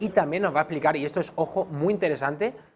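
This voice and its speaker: Here is a man with an Andalusian accent. His pitch sits fairly high. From Andalusia, Spain. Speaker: TV news presenter. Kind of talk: news presenting. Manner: formal.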